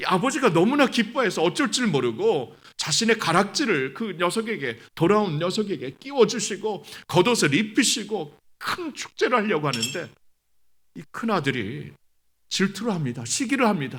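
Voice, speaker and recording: In a very clean recording with a silent background, a man speaks at a moderate pace in a high voice that swings very widely in pitch. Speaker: pastor. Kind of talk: sermon. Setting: church revival service.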